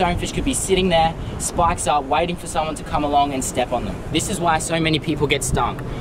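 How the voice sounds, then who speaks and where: Very fast and with fairly even intonation, a man talks while noticeable noise sounds in the background. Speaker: wildlife adventure vlogger. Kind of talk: casual vlog chat. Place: beach. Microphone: phone near.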